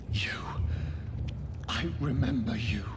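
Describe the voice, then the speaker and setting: A man's put-on character voice at medium pitch over loud background noise. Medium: game stream. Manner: solemn, cryptic, prophetic.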